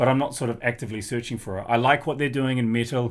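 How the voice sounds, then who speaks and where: Over a silent background in a very clean recording, a man talks very fast at a medium pitch. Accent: New Zealand. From New Zealand. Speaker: drummer and music youtuber. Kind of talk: casual vlog talk. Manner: casual, hesitant with fillers.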